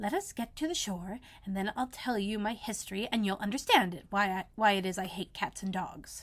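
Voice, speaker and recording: In a put-on character voice, a woman speaks shakily at a fairly quick pace, her medium-pitched voice carrying an angry tone. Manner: low, trembling, angry.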